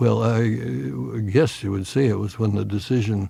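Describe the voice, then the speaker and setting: Somewhat breathy, a man's dark, mellow tone carries lively intonation. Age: 80s+. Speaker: retired physicist and former university president. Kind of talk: interview. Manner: halting, many fillers.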